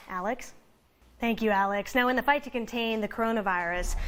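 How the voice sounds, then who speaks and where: A woman with an unremarkable speaking voice talks at a fairly high pitch. Her pace is fairly quick, with ordinary pitch variation. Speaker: TV news anchor and reporter. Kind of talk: TV news anchor read.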